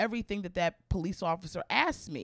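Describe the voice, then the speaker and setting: Bright and sharp in tone, a woman with an American accent speaks at medium pitch and a fairly quick pace with lively intonation, in a very clean, silent-background recording that is dry and close with no echo. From Maryland (Baltimore). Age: 40s. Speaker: stand-up comedian. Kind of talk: casual interview chat.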